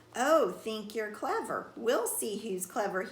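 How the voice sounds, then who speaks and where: A woman uses a put-on character voice, fairly high in pitch, and talks at a fairly slow pace. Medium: read story. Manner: gruff, growling.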